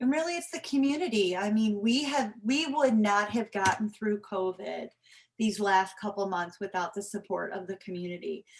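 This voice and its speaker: In an ordinary speaking voice, a woman talks at a medium pitch and moderate pace with lively intonation. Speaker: homeless shelter representative. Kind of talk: presentation.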